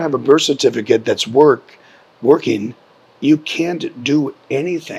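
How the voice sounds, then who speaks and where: Here a man speaks at a fairly slow pace. His pitch is fairly high, with ordinary pitch variation. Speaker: musician, non-profit founder. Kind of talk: interview answer.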